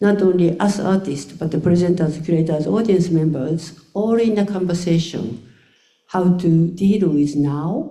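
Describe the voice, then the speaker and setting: In a Japanese accent, a woman with medium pitch and a dark, mellow tone speaks at a fairly slow pace with ordinary pitch variation and audible room echo. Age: 70s. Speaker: choreographer. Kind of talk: panel discussion. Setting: stage with audience. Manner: halting.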